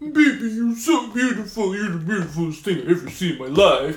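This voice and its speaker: A man's put-on character voice, high-pitched and at a fairly quick pace. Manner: gushing, exaggerated.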